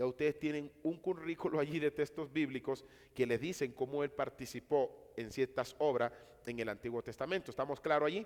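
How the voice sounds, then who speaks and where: In an ordinary speaking voice, the speaker moves at a fairly quick pace with ordinary pitch variation. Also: man, fairly high pitch for a man. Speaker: Bible teacher. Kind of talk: lecture.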